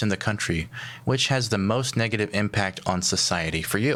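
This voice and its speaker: This man has a normal speaking voice with an American accent, ordinary pitch variation and a fairly quick pace. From US South. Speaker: talk show host. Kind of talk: call-in show, reading comments.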